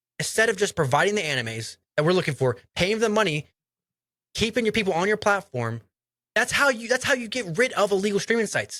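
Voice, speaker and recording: On a very clean recording with a silent background, a man speaks very fast in a raised, projected, animated voice, high in pitch and bright and sharp in tone, with lively intonation. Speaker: anime podcast co-host. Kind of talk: casual chat. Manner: loud, projecting voice.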